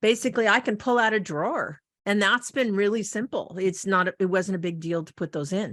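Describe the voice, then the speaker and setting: Over a quiet background, a woman talks fairly quickly in an ordinary speaking voice, medium in pitch with ordinary pitch variation. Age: 60s. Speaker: radio host. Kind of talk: interview. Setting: radio show.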